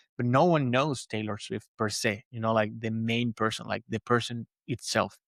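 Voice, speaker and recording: A man with a Spanish accent talks at a moderate pace with fairly even intonation, in a very clean recording with a silent background and a dry, close sound with no echo. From Venezuela. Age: 30s. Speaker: podcaster and motivational coach. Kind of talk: interview conversation. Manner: halting, many fillers and repeats.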